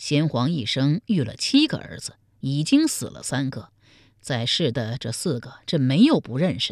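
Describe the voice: Putting on a character voice, a woman speaks at an extremely low pitch with big pitch swings and a slightly mellow tone at a moderate pace, in a very clean recording with a silent background.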